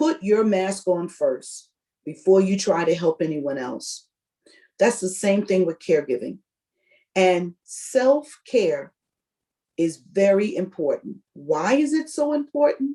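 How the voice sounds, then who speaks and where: Speaking at a very slow pace, a woman with a medium pitch and a dark, mellow tone lets her voice swing very widely in pitch. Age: 60s. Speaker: workshop presenter on caregiving. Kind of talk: presentation.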